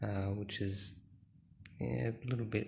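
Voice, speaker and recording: Here a man speaks with an Australian accent. His pitch is fairly low and his pace fairly slow. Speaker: gaming YouTuber. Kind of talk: casual vlog commentary. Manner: hesitant, many fillers.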